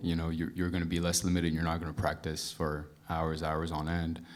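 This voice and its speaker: In a room with audible echo, a man speaks at a very deep, low pitch with monotone, flat intonation. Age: 20s. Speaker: audience member, student drummer. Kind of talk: audience question. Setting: stage with audience. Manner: halting.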